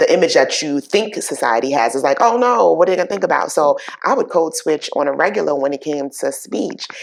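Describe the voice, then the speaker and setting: This woman talks with a strong Bronx accent. Her pace is fairly quick. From New York, the Bronx. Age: 50s. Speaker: talk show host. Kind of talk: interview.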